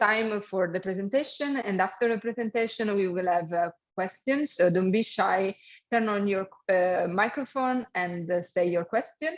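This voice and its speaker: This woman has a strong Italian accent. She talks at a moderate pace in a medium-pitched voice. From Italy. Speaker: webinar moderator. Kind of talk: event moderation.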